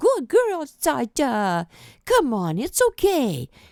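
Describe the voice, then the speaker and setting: Very slowly and at a high pitch, a female-sounding voice performs a put-on character voice in a very clean recording with a silent background. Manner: gentle, coaxing.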